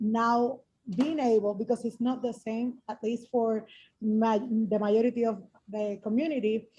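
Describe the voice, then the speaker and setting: Her voice is fairly high in pitch with a dark, mellow tone, somewhat breathy, and she speaks in a monotone, flat intonation. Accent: Spanish. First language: Spanish. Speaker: mental health worker, translator. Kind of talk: emotional testimony on video call. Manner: halting.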